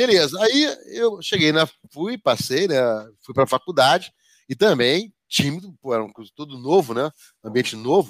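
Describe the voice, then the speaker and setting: Recorded dry and close with no echo, a man speaks fairly slowly in a fairly high voice, with very wide pitch swings, big swings in loudness, and long, frequent pauses. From Rio de Janeiro, Brazil. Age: 50s. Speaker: project management professor and association executive. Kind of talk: interview. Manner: talkative, rambling.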